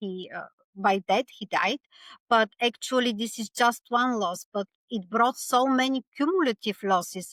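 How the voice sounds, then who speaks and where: With a Bulgarian accent, a woman speaks at a fairly high pitch, using lively intonation and big swings in loudness. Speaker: author and speaker. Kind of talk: podcast interview. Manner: halting.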